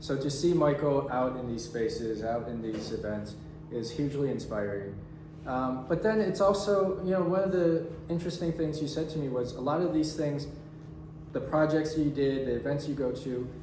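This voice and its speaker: A man speaks in an energetic tone at a fairly high pitch, with ordinary pitch variation. Audible room echo and noticeable background noise surround him. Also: moderate pace. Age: young. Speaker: volunteer event host. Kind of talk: public talk.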